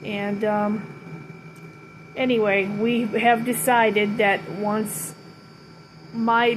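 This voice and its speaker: A woman speaks at a medium pitch with monotone, flat intonation. Noticeable background noise is present. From Ventura, California. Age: 60s. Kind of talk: casual talk to camera.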